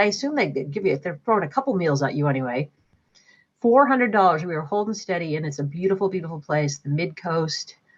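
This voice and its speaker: Against a quiet background, a woman with a fairly low, somewhat breathy voice talks at a fairly quick pace, her pitch swinging very widely. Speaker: charity auctioneer. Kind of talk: live charity auction. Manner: fast; animated.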